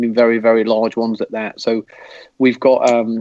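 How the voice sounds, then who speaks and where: A man with an English accent speaks at a medium pitch in a dark, mellow tone, with a dry, close sound and no echo. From England. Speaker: football fan. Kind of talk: casual chat.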